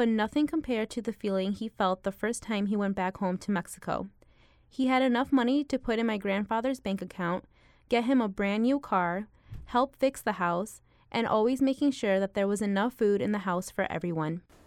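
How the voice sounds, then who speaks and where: A plain, everyday voice from a woman, fairly high in pitch with ordinary pitch variation, at a fairly quick pace, with dry, close sound with no echo and a very clean recording, silent background. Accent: American. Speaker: college student. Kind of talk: scripted narration.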